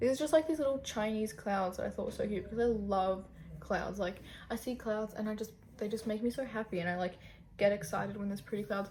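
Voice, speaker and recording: With an Australian accent, a woman speaks at a fairly high pitch, somewhat breathy. Her pitch varies in an ordinary way. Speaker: youtuber. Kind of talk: casual vlog chat. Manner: casual, filler-heavy.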